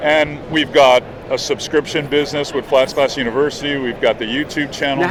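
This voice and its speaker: A man talks at a fairly quick pace in a flat monotone. Noticeable background noise sits behind him. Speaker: podcast guest, fishing television host.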